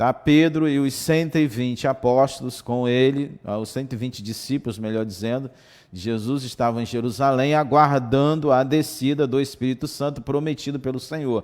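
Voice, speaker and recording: A man talks in an ordinary speaking voice at medium pitch and a moderate pace. His intonation is fairly even, with hardly any pauses. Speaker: Sunday school teacher. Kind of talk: Bible lesson. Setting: livestream and web radio.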